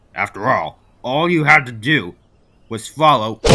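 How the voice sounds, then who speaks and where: A man's put-on character voice at medium pitch with lively intonation. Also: moderate pace. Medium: machinima.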